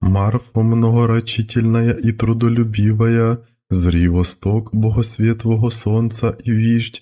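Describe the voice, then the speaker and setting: A man at medium pitch with a dark, mellow tone, very slow and flat in monotone, on a very clean recording with a silent background. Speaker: priest reading a prayer. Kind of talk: Orthodox akathist prayer reading.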